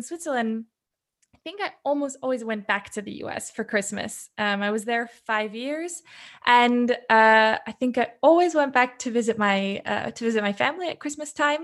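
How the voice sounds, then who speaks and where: Speaking at a moderate pace, a woman with an American accent uses a high pitch with ordinary variation. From US, Seattle. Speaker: expat interviewee. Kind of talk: casual interview. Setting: video call.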